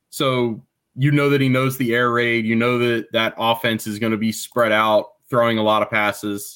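The voice is monotone, with flat intonation. The recording is very clean, with a silent background. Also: man, medium pitch for a man, moderate pace. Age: 30s. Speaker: sports journalist. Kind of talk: casual chat.

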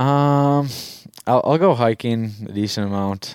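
A man's fairly slow speech with an Upper Midwest accent and ordinary pitch variation. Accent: Upper Midwest (Minnesota). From Minnesota, Stillwater. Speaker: college hockey player. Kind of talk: casual interview. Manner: hesitant, many fillers.

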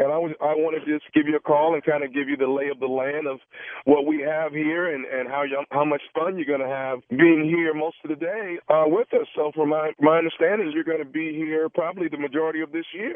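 A man with an unremarkable speaking voice talks at a fairly quick pace with hardly any pauses. His pitch is fairly high, and his intonation is fairly even. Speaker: radio prank caller. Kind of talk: prank phone call. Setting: phone call.

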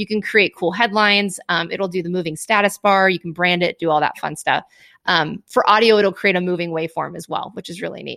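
A woman speaks at a medium pitch and a fairly quick pace, her tone bright and sharp and her intonation fairly even. Her loudness swings widely, and the recording is very clean, with a silent background. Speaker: business founder, video marketing expert. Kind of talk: casual interview. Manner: fast talker.

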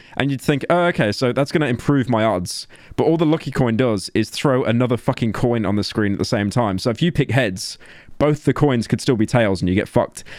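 A man with a Birmingham accent at a medium pitch and fairly quick pace, ordinary pitch variation and very even loudness, in a very clean recording with a silent background. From England, Birmingham. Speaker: podcast co-host. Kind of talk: casual chat.

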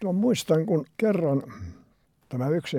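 Speaking at a fairly slow pace, a man has a dark, mellow tone and ordinary pitch variation. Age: 80s+. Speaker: retired sea kayaker. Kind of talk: interview, storytelling.

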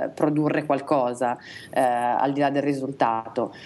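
Her voice is very deep and low for a woman, with a dark, mellow tone. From Italy, Reggio Emilia. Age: 20s. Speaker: illustrator. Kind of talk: casual chat interview. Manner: halting.

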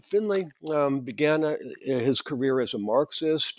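At a fairly slow pace, a man with an American accent speaks with ordinary pitch variation in a dry, close sound with no echo. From US Midwest (Minnesota). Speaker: professor of political science and classics. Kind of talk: interview. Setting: remote call. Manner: halting, many fillers.

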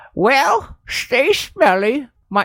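This is a put-on character voice. Each word comes out very slowly. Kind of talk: old-fashioned. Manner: comical, exaggerated.

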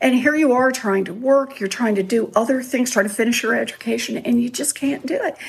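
With hardly any pauses, a woman talks at a fairly quick pace in a high voice with ordinary pitch variation, against noticeable background noise. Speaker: author. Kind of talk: interview. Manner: soft-spoken.

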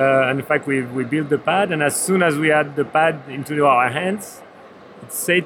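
This man talks at a moderate pace with a fairly high pitch and fairly even intonation, while noticeable background noise carries on around him. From Switzerland. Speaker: board game designer. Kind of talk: trade fair interview. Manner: halting.

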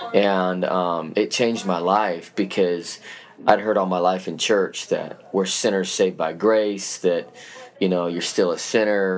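A man speaks at a fairly slow pace with an American accent. His very deep, low pitch stays monotone and flat. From Utah, US. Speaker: youth pastor. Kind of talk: casual interview. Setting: church.

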